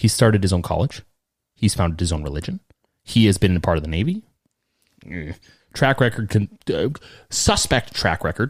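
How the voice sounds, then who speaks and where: On a very clean recording with a silent background, a man with a fairly low pitch and a somewhat breathy voice talks at a fairly quick pace with lively intonation and long, frequent pauses. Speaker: podcast host. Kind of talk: casual chat.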